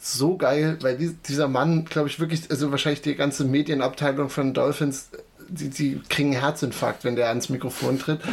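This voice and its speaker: A normal speaking voice at a moderate pace. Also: man. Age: 20s. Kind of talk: casual chat. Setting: home basement, across a table.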